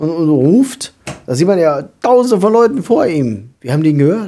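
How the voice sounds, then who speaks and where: Moderately paced, a man's high voice moves through very wide pitch swings. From southern Lower Saxony, Germany. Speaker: podcast co-host. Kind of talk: casual chat.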